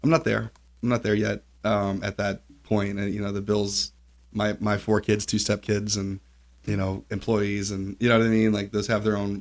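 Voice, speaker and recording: A normal speaking voice from a man, fairly low in pitch, with fairly even intonation at a moderate pace, in a very clean recording with a silent background. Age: 40s. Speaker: podcast host and family lawyer. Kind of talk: casual interview.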